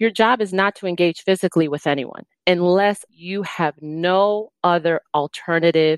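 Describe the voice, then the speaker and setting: In a very clean recording with a silent background, a woman has an ordinary speaking voice, fairly low in pitch with ordinary pitch variation. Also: dry, close sound with no echo. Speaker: security consultant, former Secret Service agent. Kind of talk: interview, safety advice.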